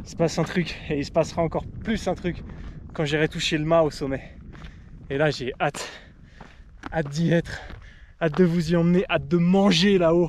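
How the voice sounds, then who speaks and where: Speaking at a moderate pace with long, frequent pauses, a man with a high pitch keeps his intonation fairly even. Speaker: cycling adventurer vlogger. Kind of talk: outdoor vlog narration. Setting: outdoors on a mountain. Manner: halting, repeating words; loud when happy.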